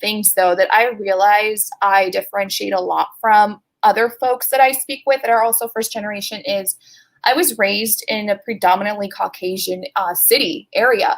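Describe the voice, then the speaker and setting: A woman's fairly high voice with a Californian accent, ordinary pitch variation and a moderate pace. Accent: Californian American English. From Los Angeles, California (Pasadena). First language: Spanish. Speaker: sales strategy manager. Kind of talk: interview.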